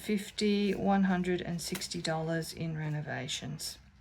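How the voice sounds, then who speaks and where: Over noticeable background noise, a woman talks at a very slow pace with ordinary pitch variation. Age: 50s. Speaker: budgeting vlogger. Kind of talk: casual chat. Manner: chatty.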